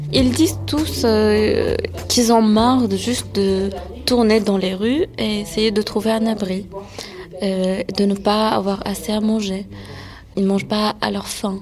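Amid noticeable background noise and audible room echo, a woman speaks in a calm tone at a very slow pace, with long, frequent pauses. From France. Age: 20s. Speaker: interpreter. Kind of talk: interview.

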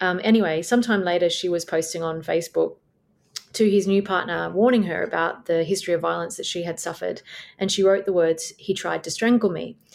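Speaking with an Australian accent, a woman keeps her fairly low pitch in fairly even intonation. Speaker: barrister. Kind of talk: interview.

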